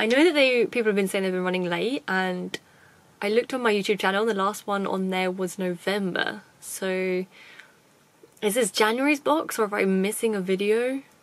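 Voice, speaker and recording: With a British accent, a woman speaks at medium pitch. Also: ordinary pitch variation, moderate pace. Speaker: YouTuber doing unboxing videos. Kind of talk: casual unboxing vlog. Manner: hesitant, with fillers.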